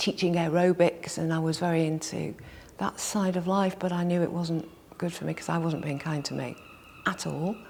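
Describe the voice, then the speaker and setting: A woman with a Mancunian accent speaks at a moderate pace. Her fairly low voice stays monotone and flat. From Manchester, England. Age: 60s. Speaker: yoga and meditation teacher. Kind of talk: interview.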